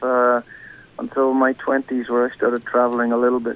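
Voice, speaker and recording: A man speaks at medium pitch with a Northern Irish accent. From Northern Ireland, County Derry. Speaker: singer-songwriter. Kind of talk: radio interview. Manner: halting.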